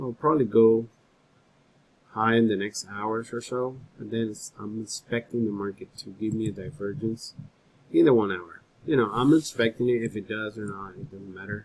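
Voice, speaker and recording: This man has a medium pitch and ordinary pitch variation, speaking at a moderate pace. His loudness swings widely. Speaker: trading analyst YouTuber. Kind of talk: screen-share market analysis. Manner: filler-heavy, hesitant.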